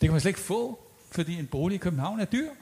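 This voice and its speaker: Very wide swings in pitch mark this man's speech. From Copenhagen. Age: old. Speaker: audience member, architecture activist. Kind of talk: panel debate.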